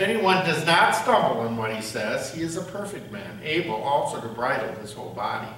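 Audible room echo surrounds a man speaking at a moderate pace, his pitch making very wide swings. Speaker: pastor or lay reader. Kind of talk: scripture reading. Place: church. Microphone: podium.

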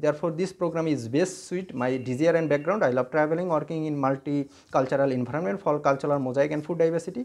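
A man with a Bangladeshi accent talks at a very fast pace with hardly any pauses. His pitch is fairly high. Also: ordinary pitch variation. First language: Bengali. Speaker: scholarship applicant. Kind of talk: self-introduction. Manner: halting. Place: home room. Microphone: earbuds.

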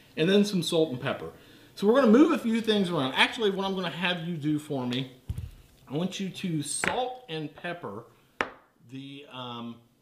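A man with a high pitch talks at a moderate pace, with big swings in loudness and long, frequent pauses. There is light background noise and audible room echo. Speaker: home cooking show host. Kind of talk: tutorial. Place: kitchen.

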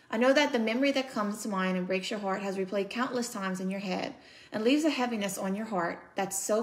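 A woman's normal speaking voice at a medium pitch, with ordinary pitch variation and a fairly quick pace. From United States. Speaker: author and speaker. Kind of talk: poetry reading from her own book. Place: home room. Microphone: phone near.

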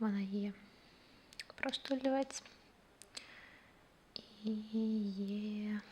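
A soft-spoken woman talks at a fairly high pitch with fairly even intonation. She leaves long, frequent pauses over noticeable background noise. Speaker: ASMR creator. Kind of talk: ASMR personal attention role play.

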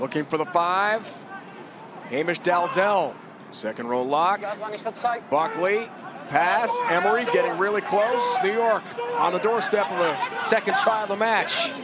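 An animated man's high-pitched voice with lively intonation, a fairly slow pace and long, frequent pauses, over noticeable background noise. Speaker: play-by-play commentator. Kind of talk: live rugby play-by-play commentary. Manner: animated, punchy short phrases.

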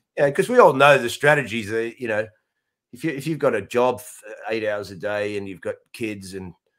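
The background stays quiet. A male speaker talks in an Australian accent. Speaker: comedian. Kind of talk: casual chat. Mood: irreverent, joking, expletives. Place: home room.

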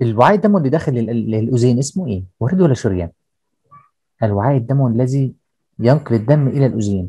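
A man's somewhat breathy, dark, mellow voice at medium pitch, fairly quick pace and lively intonation, against a quiet background. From Egypt. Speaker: teacher. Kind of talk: lecture. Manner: explanatory, repetitive with filler checks. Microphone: video call.

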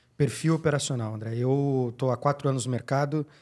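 A man's plain, everyday voice at medium pitch, with fairly even intonation, a moderate pace and a quiet background. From Brazil. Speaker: podcast co-host; podcast host. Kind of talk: casual chat. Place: studio. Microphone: studio mic.

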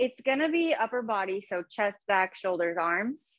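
A woman talks at a fairly high pitch over a quiet background. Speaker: fitness instructor. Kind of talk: casual talk to class before starting. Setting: video call. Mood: light, self-deprecating. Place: gym. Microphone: video call.

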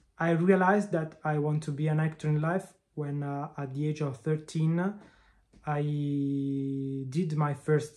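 A man with an Italian accent, fairly high-pitched, dark and mellow in tone, his intonation fairly even, over a quiet background. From Italy, Milan. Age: 20s. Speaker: actor. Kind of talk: self-presentation. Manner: halting. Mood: friendly, warm. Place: home room. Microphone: phone near.

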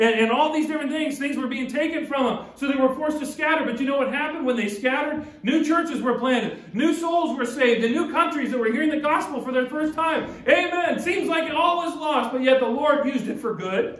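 A man's extremely high-pitched voice at a fairly quick clip, with ordinary pitch variation, hardly any pauses and audible room echo. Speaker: pastor. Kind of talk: church sermon. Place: church. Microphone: podium.

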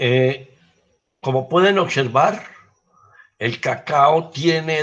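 The man's voice is somewhat breathy and fairly high in pitch. He talks at a very slow pace with ordinary pitch variation. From Colombia. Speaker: cacao agronomist, research director; guest. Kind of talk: lecture. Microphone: video call.

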